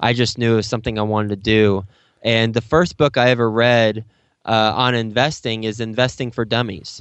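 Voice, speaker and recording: Talking at a fairly quick pace, a man with an American accent uses an unremarkable speaking voice at medium pitch with fairly even intonation. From Texas. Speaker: real estate investor and podcast host. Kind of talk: interview.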